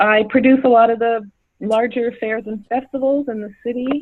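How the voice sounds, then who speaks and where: A woman uses a normal speaking voice, fairly high in pitch, with fairly even intonation at a moderate pace. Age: 60s. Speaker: event producer. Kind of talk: casual chat.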